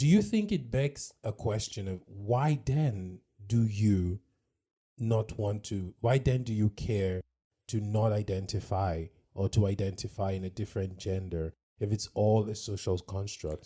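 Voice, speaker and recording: In a very clean recording with a silent background, a man speaks at a fairly slow pace with a fairly low pitch, ordinary pitch variation, a somewhat breathy quality and a dark, mellow tone. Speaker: podcast co-host. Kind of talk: casual chat.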